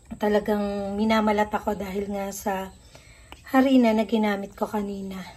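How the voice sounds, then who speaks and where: Somewhat breathy woman's voice, fairly high in pitch, with a dark, mellow tone and a moderate pace. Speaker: cooking vlogger. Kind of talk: cooking tutorial. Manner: casual, with fillers and restarts.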